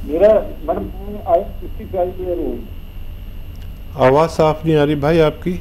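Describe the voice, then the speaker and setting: A man's voice with long, frequent pauses, audible room echo and noticeable background noise. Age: 60s. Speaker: caller. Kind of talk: phone-in question.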